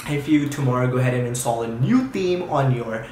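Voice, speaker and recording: A man at medium pitch and a very fast pace, with audible room echo and noticeable background noise. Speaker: YouTube tutorial creator. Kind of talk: tutorial.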